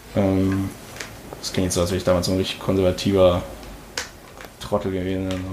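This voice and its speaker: Very deep, low male voice, monotone and flat, at a fairly quick pace with long, frequent pauses, amid audible room echo and noticeable background noise. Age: 20s. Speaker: podcast host and amateur rapper. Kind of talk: casual chat.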